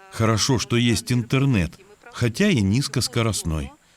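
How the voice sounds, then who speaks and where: A man's voice with lively intonation at a fairly slow pace, against noticeable background noise. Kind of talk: documentary narration.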